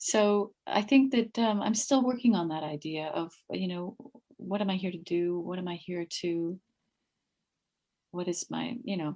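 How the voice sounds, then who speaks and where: Calm in tone, a woman with an American accent speaks at medium pitch with ordinary pitch variation. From California. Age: 50s. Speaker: meditation group leader. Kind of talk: interview.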